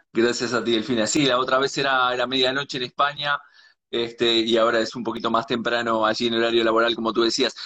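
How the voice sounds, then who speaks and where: A man's medium-pitched voice at a very fast pace with monotone, flat intonation. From Uruguay. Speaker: live-stream host. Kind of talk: live interview stream. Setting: live video stream.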